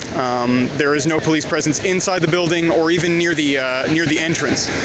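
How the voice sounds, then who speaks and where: A man speaks at a fairly quick pace with a fairly high pitch, fairly even intonation and very even loudness. Noticeable background noise and audible room echo fill the recording. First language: French. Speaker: journalist. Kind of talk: live stream reporting. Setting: outdoors. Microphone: phone mic.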